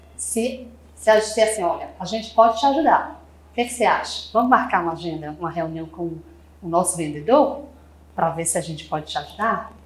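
A woman's medium-pitched voice at a fairly quick pace, with very wide pitch swings, big swings in loudness and audible room echo. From Brazil, Fortaleza, Ceará. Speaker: marketing manager of a sales consultancy. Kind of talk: podcast interview.

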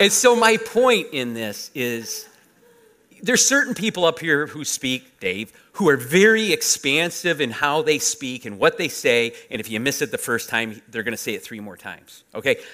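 Very wide pitch swings and big swings in loudness from a man with a bright, sharp tone. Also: fairly high pitch for a man, moderate pace. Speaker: pastor. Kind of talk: sermon. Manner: compact, analytical delivery.

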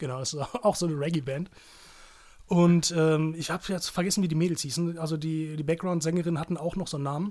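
A man's fairly high-pitched voice, fairly even in intonation, at a very fast pace. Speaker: journalist and podcast co-host. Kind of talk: casual chat. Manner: louder than co-host.

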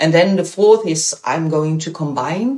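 A woman with a Dutch accent speaks in a very deep, low voice. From Netherlands. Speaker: bicycle mobility educator. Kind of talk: interview.

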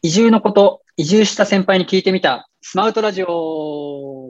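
A man talks at a moderate pace, his pitch varying in an ordinary way. The recording is dry and close, with no echo. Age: 30s. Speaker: podcast host. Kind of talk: scripted show introduction. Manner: formal, polite.

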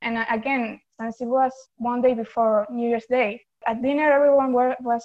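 At a moderate pace, a woman with an Argentine accent talks in a fairly high pitch with monotone, flat intonation. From Argentina. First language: Spanish. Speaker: fandom account runner. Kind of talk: casual chat.

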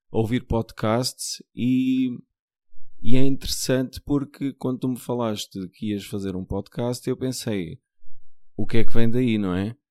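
A man with a Lisbon accent speaks at a fairly slow pace in a dark, mellow tone with fairly even intonation. The sound is dry and close, with no echo. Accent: European Portuguese, Lisbon area. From Portugal, Margem Sul (Lisbon south bank). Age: 40s. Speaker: nurse. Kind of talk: casual chat.

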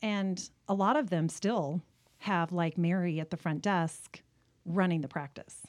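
A woman speaks with an American accent at a fairly slow pace. She has a plain, everyday voice, and the recording is very clean with a silent background. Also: fairly low pitch for a woman, ordinary pitch variation. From Southern California. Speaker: medical billing consultant. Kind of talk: interview conversation.

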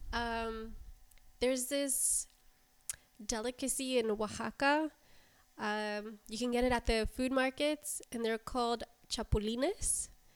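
A woman with an American accent, high pitch, fairly even intonation and a fairly slow pace broken by long, frequent pauses. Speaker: restaurant manager. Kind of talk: casual chat.

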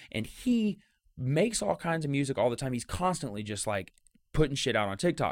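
A man speaks at a fairly quick clip and a fairly high pitch, his pitch swinging very widely, on a very clean recording with a silent background. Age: 20s. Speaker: podcast host. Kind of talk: casual chat.

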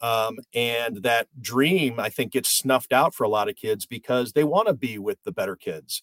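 A plain, everyday voice from a man at medium pitch, with lively intonation, a moderate pace and hardly any pauses, in a dry, close sound with no echo. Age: 50s. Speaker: sports journalist. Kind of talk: casual chat.

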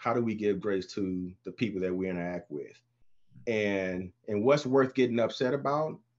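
Lively intonation marks a man's ordinary speaking voice, pitched in the medium range, with an American accent against a quiet background. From Texas. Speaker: panel guest, father. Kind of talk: casual panel discussion.

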